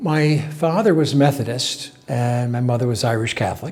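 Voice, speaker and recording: Someone with an American accent talks at a fairly slow pace with ordinary pitch variation. Noticeable background noise runs underneath. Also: man. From upstate New York, Binghamton. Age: 70s. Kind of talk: interview testimony. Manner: hesitant, many fillers.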